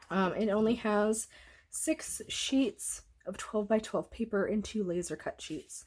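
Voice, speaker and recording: Her voice sits fairly high in pitch. The speaker, a woman, sounds somewhat breathy. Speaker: scrapbooking crafter. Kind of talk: craft tutorial. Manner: casual, chatty.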